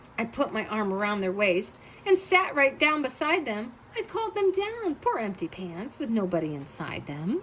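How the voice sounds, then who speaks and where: Someone uses a put-on character voice with very wide pitch swings, with clear background noise behind it. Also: woman, fairly high pitch for a woman, moderate pace. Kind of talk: bedtime story. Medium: read story. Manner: storytelling, breathless when scared.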